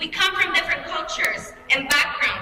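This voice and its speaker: With audible room echo and noticeable background noise, a woman speaks in a raised, projected voice. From Mexico. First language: Spanish. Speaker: student trustee. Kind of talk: commencement speech. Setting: stage with audience. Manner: formal.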